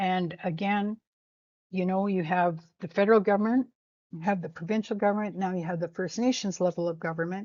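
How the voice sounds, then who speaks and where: An unremarkable speaking voice with a Canadian accent goes at a fairly quick pace against a quiet background. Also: woman, medium pitch for a woman, fairly even intonation. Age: 60s. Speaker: First Nations educator. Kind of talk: informal lecture. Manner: conversational, with frequent fillers.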